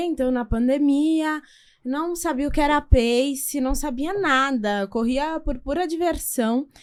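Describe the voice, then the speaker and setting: On a very clean recording with a silent background, a woman with a high pitch speaks at a very slow pace. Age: 20s. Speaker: lawyer and marathon runner. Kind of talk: podcast interview.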